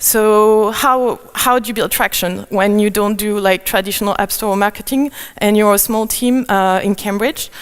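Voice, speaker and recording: A woman with a French accent speaks at a moderate pace and a fairly high pitch. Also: fairly even intonation, hardly any pauses. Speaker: conference speaker. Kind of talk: conference talk. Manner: halting, many fillers.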